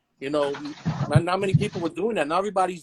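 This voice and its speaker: Recorded dry and close with no echo, a man talks at a very fast pace with ordinary pitch variation. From Guyana, raised in New York from childhood. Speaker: graffiti artist and clothing designer. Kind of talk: interview. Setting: live stream show. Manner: casual, many fillers.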